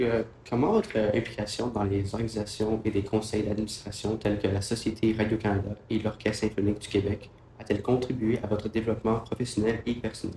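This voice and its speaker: Noticeable background noise sits under fairly quick speech with monotone, flat intonation. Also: man, fairly low pitch for a man. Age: young. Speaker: student podcast host. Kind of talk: interview.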